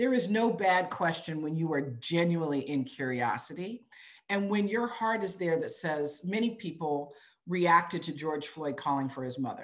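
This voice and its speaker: With an American accent, this is a normal speaking voice at a moderate pace with lively intonation. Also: woman. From US. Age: 50s. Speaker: business executive. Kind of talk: webinar interview.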